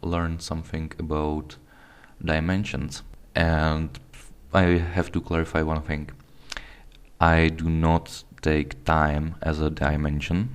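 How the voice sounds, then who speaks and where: Very slowly, a man speaks in a very deep, low pitch. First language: not English. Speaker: video blogger. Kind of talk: casual talk to camera. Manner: halting, with false starts.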